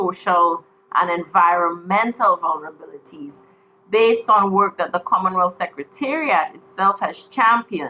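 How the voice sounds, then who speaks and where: A woman with a Caribbean accent, medium pitch, ordinary pitch variation and a moderate pace. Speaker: panel speaker on trade policy. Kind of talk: panel presentation. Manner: formal.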